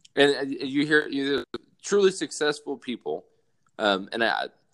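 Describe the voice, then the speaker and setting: At a moderate pace, a man talks with a Southern US accent. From US South, South Alabama. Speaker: army soldier. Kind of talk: casual chat.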